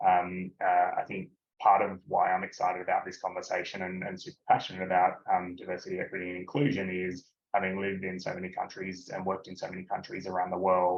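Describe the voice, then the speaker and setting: Very fast and monotone, a man with an Australian accent talks in a very deep, low voice with big swings in loudness. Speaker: business executive. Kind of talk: webinar interview. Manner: halting, many filler words.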